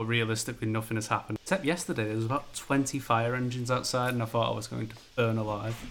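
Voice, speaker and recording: This man has an ordinary speaking voice at a medium pitch, with fairly even intonation. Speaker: podcast co-host. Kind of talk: casual chat.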